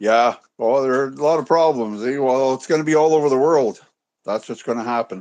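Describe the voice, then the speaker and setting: This man has an ordinary speaking voice with a Canadian accent, a medium pitch and ordinary pitch variation. He talks at a fairly quick pace against a quiet background. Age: 60s. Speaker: caller. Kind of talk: casual chat. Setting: video call.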